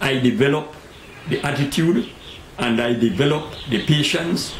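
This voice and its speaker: The man has a Tobagonian accent and a medium pitch. Noticeable background noise is present. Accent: Tobagonian Caribbean English. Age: 80s+. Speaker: credit union founder. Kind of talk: interview answer.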